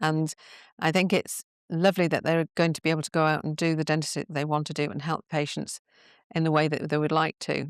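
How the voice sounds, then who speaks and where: A woman rushes along at a very fast pace in a very deep, low, monotone voice with flat intonation, the sound dry and close with no echo. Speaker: dental business consultant. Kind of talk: podcast interview.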